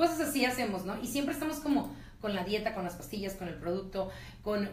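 A woman talks at a fairly quick pace in a fairly high pitch with lively intonation, while audible room echo and light background noise sit behind her. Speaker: radio host. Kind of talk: radio interview questions. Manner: chatty, animated. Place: studio.

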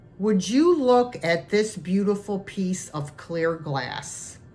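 Over music in the background, a woman speaks at a very slow pace with very wide pitch swings. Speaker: thrift reseller. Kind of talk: casual vlog chat. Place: home room. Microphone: phone near.

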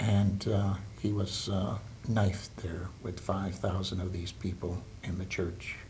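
Over light background noise, a man with a very deep, low pitch speaks at a very slow pace, somewhat breathy, with fairly even intonation. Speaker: retired teacher, interviewee. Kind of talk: oral history interview. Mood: calm, reflective. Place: home room.

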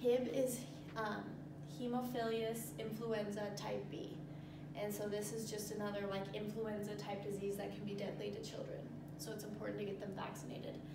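A woman at a moderate pace with ordinary pitch variation, in a room with audible echo and loud background noise. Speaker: presenter. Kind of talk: tutorial. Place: classroom. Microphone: camera far.

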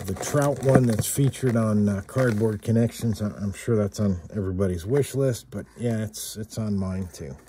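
Fairly slow speech amid noticeable background noise. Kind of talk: casual unboxing commentary.

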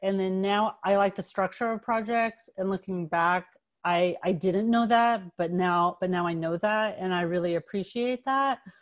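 A woman with an American accent talks at a moderate pace, her pitch in the middle range and its variation ordinary. It is a plain, everyday voice against a quiet background. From Los Angeles. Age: 40s. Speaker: photographer and art teacher. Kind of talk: artist talk presentation. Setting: video call. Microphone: video call.

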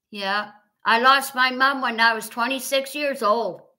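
A woman's high, bright, sharp voice in an American accent, raised and projected at a very slow pace, over a quiet background. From US Midwest, Wisconsin (Fond du Lac); Wisconsin. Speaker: livestream host; live streamer. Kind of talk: casual chat. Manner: repetitive. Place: home room. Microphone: webcam.

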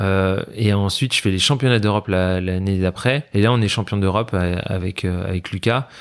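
In an ordinary speaking voice, a man talks at a moderate pace with fairly even intonation and a fairly low pitch, on a very clean recording with a silent background. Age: 30s. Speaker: para-badminton athlete. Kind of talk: interview.

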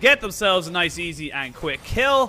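A man's raised, projected voice with lively intonation over noticeable background noise. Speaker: esports commentator. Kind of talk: live esports commentary. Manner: animated, fast play-by-play delivery; excitable, with exclamations and laughter.

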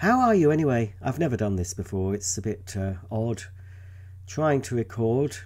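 A man talks at a moderate pace and medium pitch, with lively intonation. His voice is somewhat breathy, with a dark, mellow tone. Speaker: vacuum cleaner enthusiast video creator. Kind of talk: unboxing and product demonstration video.

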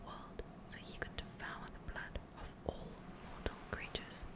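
At a moderate pace, a woman is whispering. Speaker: ASMR gaming streamer. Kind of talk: ASMR lore book reading, storytelling narration. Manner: whispered, soft. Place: home room. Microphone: studio mic.

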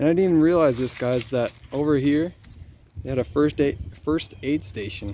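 With lively intonation, a man speaks at a moderate pace, the sound dry with no echo and light background noise. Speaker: urban explorer vlogger. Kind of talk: casual vlog narration. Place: stadium. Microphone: phone near.

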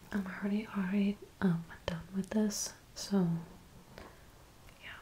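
Soft-spoken and relaxed in tone, a woman talks at a fairly slow pace with light background noise behind her. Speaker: ASMR creator. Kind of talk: soft-spoken ASMR talk to camera. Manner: soft-spoken, relaxed. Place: home room. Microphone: studio mic.

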